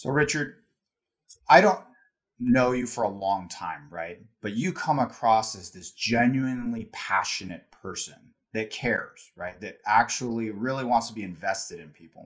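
A man's medium-pitched, unremarkable speaking voice at a moderate pace, with ordinary pitch variation and big swings in loudness. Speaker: podcast host. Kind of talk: interview conversation.

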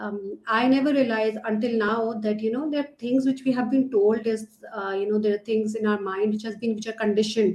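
With a Pakistani accent, a woman talks at a fairly quick pace in a fairly high pitch and with fairly even intonation. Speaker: learning and development trainer, nonprofit co-founder. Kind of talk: casual interview conversation.

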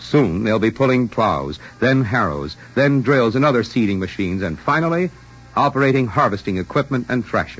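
A man with a medium pitch speaks fairly quickly, his pitch swinging very widely, with music in the background. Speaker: radio announcer. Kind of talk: radio announcer reading commercials and credits. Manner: formal, smooth, brisk.

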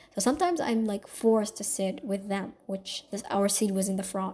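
A woman talks at a fairly quick pace in a fairly high pitch over noticeable background noise. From Saudi Arabia, Somali family. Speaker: podcast host. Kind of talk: personal storytelling monologue. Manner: casual, filler-heavy with self-corrections.

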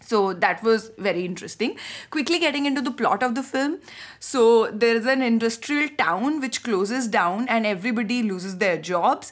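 A woman talks at a moderate speed, her intonation lively. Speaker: podcast host. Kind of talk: casual chat, film discussion.

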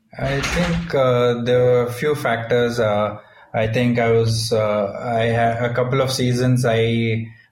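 With an Indian accent, a man talks in a somewhat breathy voice with monotone, flat intonation. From Bangalore, India. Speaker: professional cricketer. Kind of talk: interview answers, casual. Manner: soft-spoken, humble.

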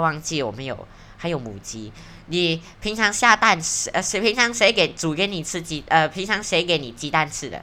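An animated voice at a moderate pace, with very wide pitch swings and big swings in loudness. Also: woman. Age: 20s. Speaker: podcast host. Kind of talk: casual monologue. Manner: animated, rambling with fillers.

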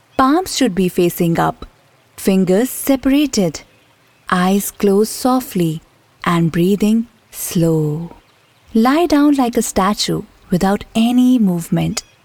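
A woman's medium-pitched, soothing voice at a fairly slow pace, with lively intonation, very even loudness and long, frequent pauses. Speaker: meditation teacher. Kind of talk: guided meditation, slow body-scan relaxation script over background music. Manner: slow, soothing and gently instructive; repetitive, calm cueing of each step.

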